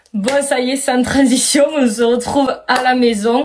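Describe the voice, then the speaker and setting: Speaking at a fairly slow pace, a woman sounds animated, her pitch high. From southern France. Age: 20s. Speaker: vlogger and amateur singer. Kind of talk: casual vlog talk. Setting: at home.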